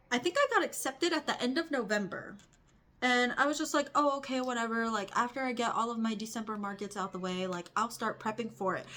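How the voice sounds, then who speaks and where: Talking at a very fast pace, a woman has a fairly high pitch and a bright, sharp tone. Her intonation is lively. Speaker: crochet artist and vlogger. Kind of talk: casual vlog talk. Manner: fast, rambling.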